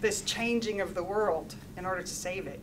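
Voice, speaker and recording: A woman with an American accent speaks over noticeable background noise. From USA. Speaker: engineering professor. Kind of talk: lecture. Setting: stage with audience. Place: meeting room.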